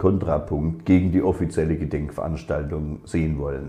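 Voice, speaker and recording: A man is speaking. The background is quiet. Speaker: speaker. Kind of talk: formal political speech. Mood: solemn, critical. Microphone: webcam.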